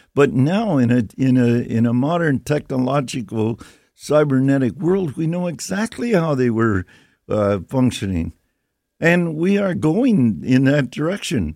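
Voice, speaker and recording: A man's medium-pitched, dark and mellow voice with very wide pitch swings, in a very clean recording with a silent background. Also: fairly slow pace. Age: 80s+. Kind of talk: interview. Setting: radio studio. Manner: halting.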